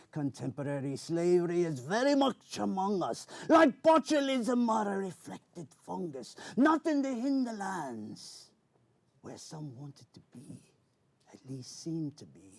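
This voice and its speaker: In a put-on character voice, a man talks high in pitch at a moderate pace with very wide pitch swings. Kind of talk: spoken word poetry performance. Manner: theatrical, old-fashioned pirate speech.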